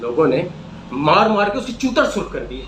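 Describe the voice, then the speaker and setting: As this man talks, noticeable background noise is heard. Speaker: solo performer. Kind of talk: dramatic poetry reading. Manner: sarcastic, comic.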